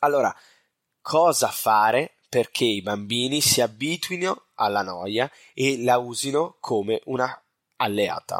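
The man's medium-pitched voice goes at a very slow pace with lively intonation. Loudness stays very even, and the sound is dry and close with no echo. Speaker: parenting podcast host. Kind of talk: solo podcast talk.

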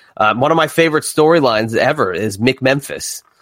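A man talks with a New Jersey accent. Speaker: wrestling podcaster. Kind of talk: casual interview chat. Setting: online recording studio.

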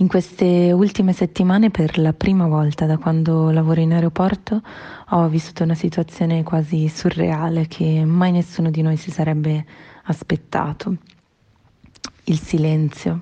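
Somewhat breathy and dark, mellow in tone, a woman speaks at a fairly low pitch with monotone, flat intonation. Her pace is moderate, broken by long, frequent pauses. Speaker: airport check-in agent. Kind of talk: personal testimony.

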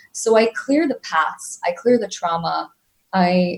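Her voice carries a somewhat breathy quality. The speaker is a woman. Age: 40s. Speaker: emotional mastery coach. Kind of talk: interview. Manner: fast.

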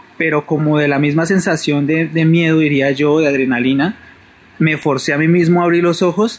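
A man's fairly high-pitched voice at a moderate pace, with fairly even intonation over noticeable background noise. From Bogotá, Colombia. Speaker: caller. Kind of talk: personal paranormal story on phone.

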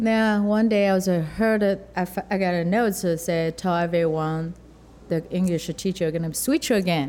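A woman with a Chinese accent, very even loudness and fairly even intonation on a very clean recording with a silent background. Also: medium pitch for a woman, moderate pace. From rural southern China. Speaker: chef and restaurant owner. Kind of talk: interview. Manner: halting.

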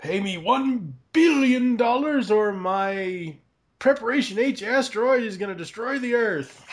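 An extremely high-pitched put-on character voice from a man, fairly slow in pace. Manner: menacing, threatening.

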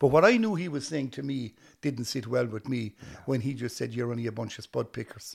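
Somewhat breathy and speaking at a fairly quick pace, a man with an Irish accent uses a medium pitch with ordinary variation. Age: 60s. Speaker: actor and comedian, former musician. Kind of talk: casual interview chat.

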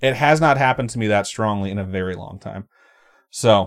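The speaker is a man with a normal speaking voice. His pitch is medium with ordinary variation. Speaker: podcast host. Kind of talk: casual banter. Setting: live stream.

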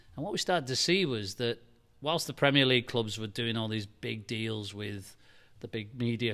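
A man with a Liverpool accent talks at a fairly quick pace and medium pitch, with ordinary pitch variation, on a very clean recording with a silent background. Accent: Liverpool (Scouse) English. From Liverpool, England. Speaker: football club chief executive. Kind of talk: interview. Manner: halting.

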